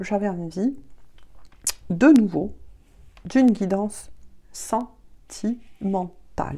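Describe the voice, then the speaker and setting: Soft-spoken, a woman talks very slowly in a dark, mellow tone with lively intonation. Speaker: tarot reader. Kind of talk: tarot reading guidance. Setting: video at home.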